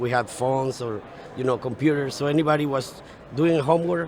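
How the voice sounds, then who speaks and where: Fairly high male voice with fairly even intonation, against noticeable background noise. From Venezuela. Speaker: petrophysicist, professional society president. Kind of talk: casual interview. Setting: live at a conference.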